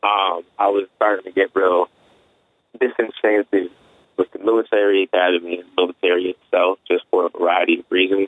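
A man with an American accent, fairly low pitch, a fairly quick pace and monotone, flat intonation. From US, suburban Virginia. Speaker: music blogger. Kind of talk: interview. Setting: phone call. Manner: halting, many fillers. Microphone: phone audio quality.

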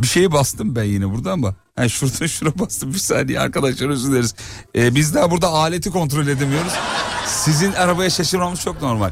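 Over noticeable background noise, a man with a fairly high pitch talks very fast in an animated tone with lively intonation. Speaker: radio host. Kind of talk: casual chat. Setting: outdoors.

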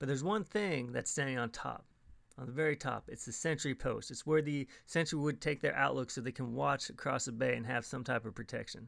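On a very clean recording with a silent background, a man of medium pitch speaks at a fairly quick pace with vocal fry and ordinary pitch variation. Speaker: podcast host. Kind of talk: scripted podcast narration, informal travel talk. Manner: friendly, conversational.

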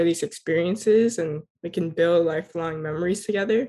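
Speaking at a moderate pace with an American accent, a woman has a plain, everyday voice and a fairly low pitch. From South Florida. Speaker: youth community organizer. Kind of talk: interview.

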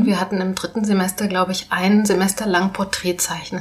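Over noticeable background noise, a woman talks at a medium pitch and fairly quick pace in a monotone, flat manner. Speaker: podcast host. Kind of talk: casual interview. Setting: on location in Neukölln.

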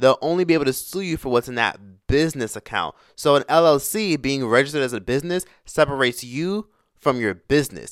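A man's animated, very fast speech at a fairly high pitch, with ordinary pitch variation, in a dry, close sound with no echo on a very clean recording with a silent background. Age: 20s. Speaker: YouTuber and podcaster. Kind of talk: casual monologue on personal finance.

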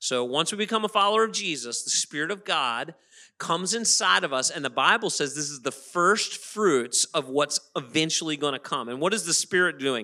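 A man speaks loudly at a fairly high pitch, in a bright, sharp, animated tone with lively intonation. The recording is very clean, with a silent background. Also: moderate pace. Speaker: pastor. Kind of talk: sermon. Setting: church.

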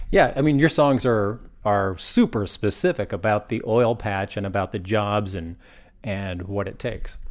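A man with an ordinary speaking voice talks at a moderate pace and a fairly low pitch, with ordinary pitch variation. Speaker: radio reporter. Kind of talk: radio interview. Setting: living room interview.

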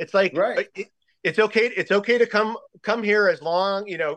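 This man speaks with an American accent at a high pitch. His pace is fairly quick. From Connecticut, Bridgeport. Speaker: cannabis food company founder. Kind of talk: interview. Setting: phone call.

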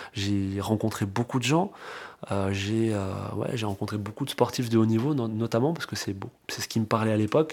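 A man with a plain, everyday voice talks at a moderate pace with a fairly low pitch and ordinary pitch variation. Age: 30s. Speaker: real estate investor. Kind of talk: interview. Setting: at the host's home.

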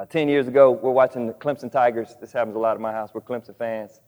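Speaking with a Southern US accent, the man has a medium pitch and ordinary pitch variation. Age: 40s. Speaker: pastor and church planter. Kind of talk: sermon. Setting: church.

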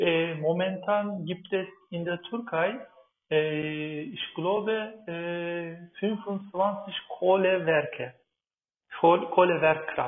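A man speaks very slowly in a Turkish accent. His voice is high, with ordinary pitch variation. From Turkey. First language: Turkish (speaking German). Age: 30s. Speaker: climate activist and agricultural engineer. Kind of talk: interview. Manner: halting, many fillers.

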